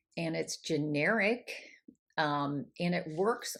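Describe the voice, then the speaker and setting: A woman speaks in a plain, everyday voice at a fairly slow pace with ordinary pitch variation. The recording is very clean, the background silent. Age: 60s. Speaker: menopause coach. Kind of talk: casual talk to camera. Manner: conversational with fillers.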